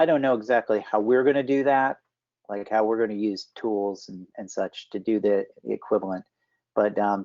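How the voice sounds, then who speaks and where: In a normal speaking voice, a man with a fairly low pitch talks at a moderate pace with fairly even intonation against a quiet background. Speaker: health data standards specialist; presenter. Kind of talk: work meeting presentation. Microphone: video call.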